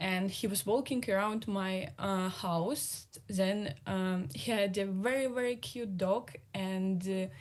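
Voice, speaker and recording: With a Russian accent, a woman speaks at a very slow pace and medium pitch, with ordinary pitch variation. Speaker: exiled journalist. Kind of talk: panel discussion. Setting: video call. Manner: halting.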